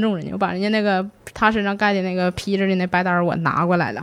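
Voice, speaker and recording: A woman speaks very fast in a Northeastern Chinese accent. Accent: Northeastern Mandarin. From Northeast China. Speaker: mortician. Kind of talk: interview storytelling. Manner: halting, stammering repetitions.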